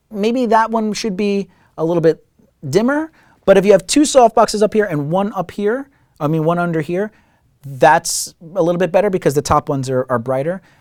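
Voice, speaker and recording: A man's high-pitched voice moves at a fairly quick pace in a very clean recording with a silent background. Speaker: filmmaker and YouTube tutorial host. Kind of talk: casual Q&A tutorial. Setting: studio. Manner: fast.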